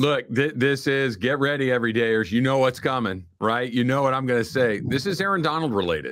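A man with an ordinary speaking voice talks at a fairly quick pace with hardly any pauses. His pitch variation is ordinary. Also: medium pitch for a man, very even loudness. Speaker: sports radio host. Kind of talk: casual sports talk.

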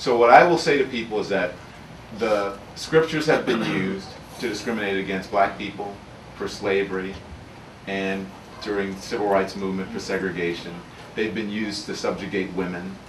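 With long, frequent pauses and ordinary pitch variation, a man speaks at a fairly low pitch over light background noise and audible room echo. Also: moderate pace. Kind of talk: audience answer at a book talk. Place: shop. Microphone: podium.

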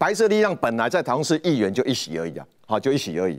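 Very fast speech with vocal fry and very wide pitch swings comes through a very clean recording with a silent background. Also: man. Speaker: political commentator. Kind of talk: panel discussion.

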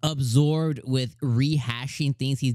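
Intonation stays fairly even. The background is quiet, and the sound is dry with no echo. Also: man. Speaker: anime reviewer. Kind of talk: casual commentary. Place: home room. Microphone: studio mic.

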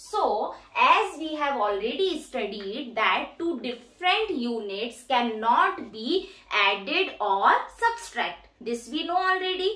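Projecting a raised voice at a very slow pace, a woman speaks with a high pitch and very wide pitch swings amid audible room echo. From India. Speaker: teacher and educational YouTuber; teacher, educational YouTuber. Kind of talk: demo teaching tutorial. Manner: teacherly, explanatory.

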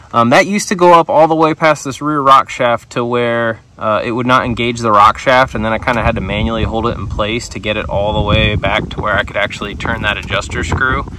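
Against noticeable background noise, a man talks at a fairly quick pace with hardly any pauses and ordinary pitch variation, the sound dry with no echo. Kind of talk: tutorial. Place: open country. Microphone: phone near.

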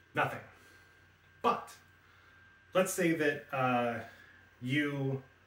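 A man talks at a medium pitch. Audible room echo surrounds his voice. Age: 40s. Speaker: tech YouTuber. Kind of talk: product review. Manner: casual, halting with fillers. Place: home room.

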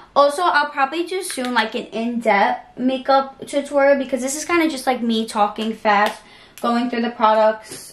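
With audible room echo, a woman's fairly high, fairly bright voice makes big pitch swings.

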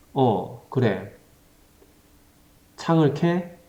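With a Gyeongsang accent, a man speaks very slowly in a dark, mellow tone that sounds playful, his pitch varying in an ordinary way. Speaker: teacher. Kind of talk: humorous tutorial skit in dialogue form. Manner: casual, playful.

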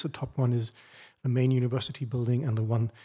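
The voice is somewhat breathy. The background is quiet. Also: man. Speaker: university librarian; presenter. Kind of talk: conference presentation.

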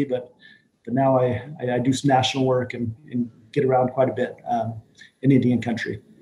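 Somewhat breathy and dark, mellow in tone, a man talks at a fairly quick pace with an American accent. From US Northern Plains, Northern Cheyenne. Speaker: panel guest. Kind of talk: panel discussion. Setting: video call. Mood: friendly, smiling. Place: office. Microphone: video call.

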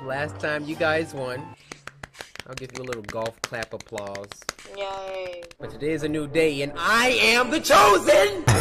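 Clear background music under a man talking at a fairly slow pace. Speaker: gaming youtuber. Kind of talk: casual vlog chat. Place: home room.

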